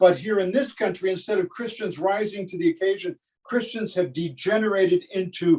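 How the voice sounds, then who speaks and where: With hardly any pauses, a man speaks in a high voice with ordinary pitch variation. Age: 70s. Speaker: pastor. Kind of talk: sermon. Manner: halting.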